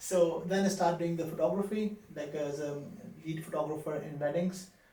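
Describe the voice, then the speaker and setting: In a room with audible echo, a man with a high pitch and a dark, mellow tone speaks at a moderate pace with fairly even intonation. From Pakistan, Karachi. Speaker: street photographer. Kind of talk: interview. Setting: studio. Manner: halting.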